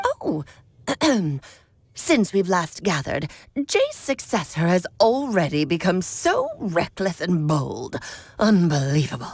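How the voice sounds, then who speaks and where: A put-on character voice at a fairly slow pace, broken by long, frequent pauses. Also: woman, medium pitch for a woman. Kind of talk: old-fashioned, haughty.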